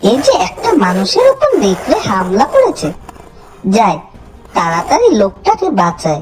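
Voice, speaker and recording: A female-sounding cartoonish character voice, fairly high in pitch, at a fairly slow pace. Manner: grumbling, bargaining.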